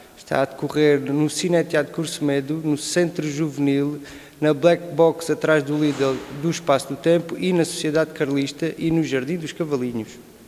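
With monotone, flat intonation, a man talks at a moderate pace. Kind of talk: interview answer. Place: hall. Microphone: handheld.

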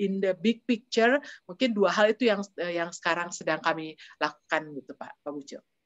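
In a quiet background, a woman's voice shows ordinary pitch variation. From Bandung, West Java, Indonesia. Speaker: diplomat. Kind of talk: interview. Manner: halting. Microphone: video call.

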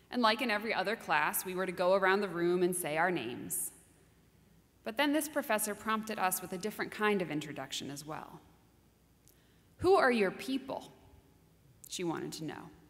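Delivered at a fairly quick pace, the speech has very wide pitch swings and long, frequent pauses. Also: woman. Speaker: minister giving a sermon. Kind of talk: sermon delivered to a congregation. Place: church. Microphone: podium.

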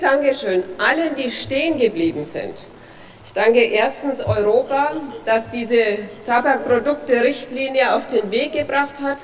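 With a strong Franconian accent, a woman speaks at a high pitch with ordinary pitch variation over light background noise. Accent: broad Franconian German. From Franconia, Germany. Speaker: politician, federal drug commissioner. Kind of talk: parliamentary speech. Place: hall. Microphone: podium.

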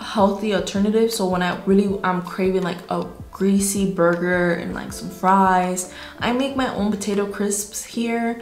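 Faint music plays in the background, and room echo is audible. A woman talks at a moderate pace in an upbeat tone. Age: 20s. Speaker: fitness vlogger. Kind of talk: casual talk to camera. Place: home room. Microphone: phone near.

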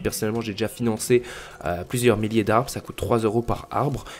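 Fairly quick talking from a man at a medium pitch. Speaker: gaming YouTuber. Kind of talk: solo podcast monologue. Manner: hesitant, many fillers.

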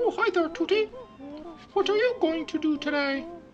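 Over clear background noise, a man uses a put-on character voice at an extremely high pitch and a moderate pace. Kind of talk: comic game voice imitation. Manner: friendly, then panicked.

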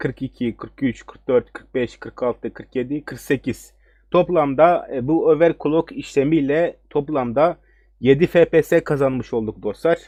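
Very slowly, a man speaks in a fairly high pitch with ordinary pitch variation and a dark, mellow tone. The sound is dry and close, with no echo. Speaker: gaming tech YouTuber. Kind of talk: tutorial. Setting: screen recording at home computer. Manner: hesitant, many fillers.

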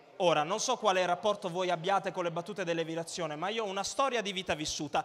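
Raised, projected voice with a bright, sharp, animated tone. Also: man. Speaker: stand-up comedian. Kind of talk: stand-up comedy, crowd-work banter and irreverent jokes. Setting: stage with audience. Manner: animated, cheeky, provocative, teasing the audience. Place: stage. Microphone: handheld.

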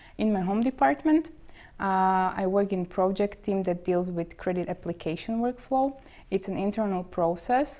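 With a Slovak accent, a woman speaks at a moderate pace and medium pitch, her dark, mellow tone carried by lively intonation. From Slovakia. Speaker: bank trainee. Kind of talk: interview. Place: office. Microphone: lapel.

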